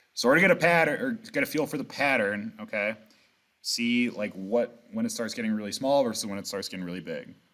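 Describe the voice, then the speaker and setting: In a very clean recording with a silent background, a man talks very fast with lively intonation and a bright, sharp tone. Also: medium pitch for a man. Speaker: math teacher. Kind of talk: lecture.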